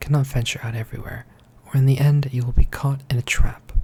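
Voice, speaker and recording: The speaker is soft-spoken. The pace is moderate. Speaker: ASMR storyteller. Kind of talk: fairy tale reading.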